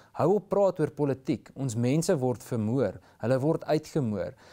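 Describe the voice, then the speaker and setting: A man is talking. His tone is dark and mellow against a quiet background. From South Africa. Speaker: community safety organiser; talk show guest. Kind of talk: interview. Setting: studio. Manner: halting, frequent repetitions. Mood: earnest, concerned. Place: studio. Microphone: lapel.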